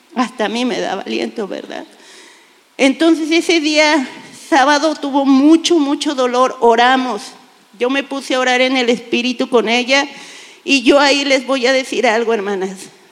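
Against noticeable background noise, a woman speaks at a moderate pace with a high pitch and ordinary pitch variation. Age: 50s. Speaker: church volunteer. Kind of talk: testimony. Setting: church stage with audience.

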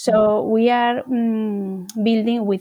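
A woman speaks with a Spanish accent in a fairly high pitch and a dark, mellow tone. Her intonation is monotone and flat. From Spain. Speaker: charity founder and CEO. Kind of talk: interview. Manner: halting.

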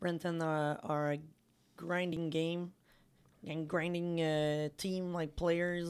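Over a silent background in a very clean recording, the speaker talks in a Quebec accent at a fairly slow pace with monotone, flat intonation. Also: woman. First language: French. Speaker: women's hockey podcast co-host. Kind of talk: casual chat.

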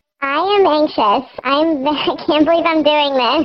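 A woman's squeaky, high-pitched, put-on character voice at a fairly slow pace. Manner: sheepish.

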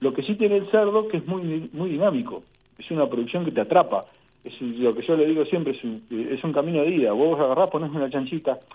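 Here a man talks with an Argentine accent. His intonation is lively. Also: fairly high pitch for a man, fairly quick pace. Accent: Rioplatense Argentine Spanish. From Argentina, Saladillo, Buenos Aires province. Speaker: veterinarian and pig farmer. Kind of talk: interview.

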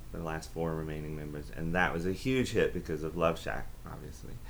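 Lively intonation from a man with an American accent, with audible room echo. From US South, Aiken, South Carolina. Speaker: professor. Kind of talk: interview about academic topic.

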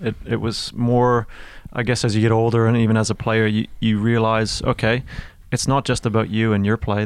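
A man's plain, everyday voice at a medium pitch, fairly quick pace, with a Canadian accent. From Canada, Mississauga, Ontario (Toronto area). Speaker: ice hockey coach and former player, school teacher. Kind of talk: casual interview chat.

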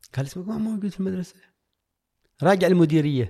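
This man's voice sits high in pitch and has a dark, mellow tone. His intonation is lively. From Oman, coastal town south of the capital. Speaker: coach. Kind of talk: casual life-story interview. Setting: studio.

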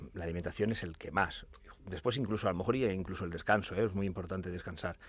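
Very fast and fairly even in intonation, a man talks at a very deep, low pitch. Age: 40s. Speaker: natural bodybuilding champion. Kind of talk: casual chat. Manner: halting.

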